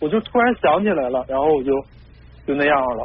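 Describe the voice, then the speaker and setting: A man talks with lively intonation. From Heilongjiang, northeast China. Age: 30s. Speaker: caller. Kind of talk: advice call-in. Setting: phone call. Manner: halting.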